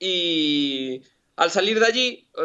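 A man speaks at a fairly high pitch. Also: quiet background. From Galicia, Spain. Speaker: engineer and shop owner; interview guest. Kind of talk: interview. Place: workshop. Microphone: video call.

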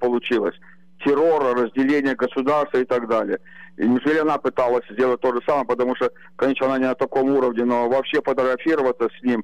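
Over a quiet background, a man with a medium pitch talks at a very fast pace in a monotone, flat intonation with very even loudness. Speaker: caller. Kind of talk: talk show discussion. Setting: phone call. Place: home room. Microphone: video call.

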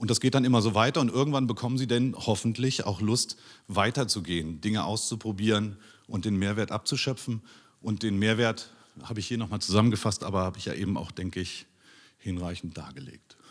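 Against a quiet background, the speech moves at a fairly quick pace with ordinary pitch variation. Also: man, fairly low pitch for a man. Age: 40s. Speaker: teacher. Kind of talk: conference talk. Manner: hesitant, many filler sounds. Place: hall. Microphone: handheld.

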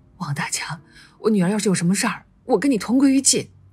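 In a put-on character voice, someone bellows and shouts at a very fast pace, raspy and fairly high in pitch. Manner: roaring, shouting in fury.

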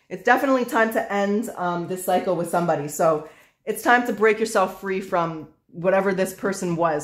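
A fairly quick pace against a quiet background. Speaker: tarot reader. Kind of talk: tarot reading commentary.

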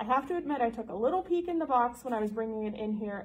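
Somewhat breathy, a woman speaks at a fairly quick pace. Her intonation is lively, and there is light background noise. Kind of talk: casual promotional talk. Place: office. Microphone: camera far.

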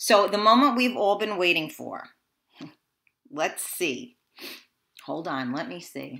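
Her bright, sharp tone sits at a medium pitch for a woman. She sounds animated, with vocal fry. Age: 40s. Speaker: talk show host. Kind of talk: casual chat. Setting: studio.

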